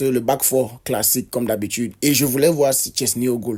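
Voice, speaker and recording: This man's voice sits at medium pitch with fairly even intonation. The tone is dark and mellow. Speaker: football youtuber. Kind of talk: match debrief vlog. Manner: hesitant, many fillers and repetitions.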